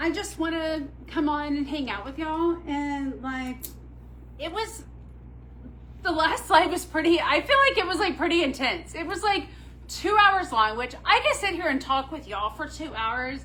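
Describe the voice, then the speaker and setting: In an American accent, a woman projects a raised, high-pitched voice with an animated tone and lively intonation. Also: moderate pace. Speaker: boutique owner presenting handbags. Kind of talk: live shopping stream chat. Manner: loud.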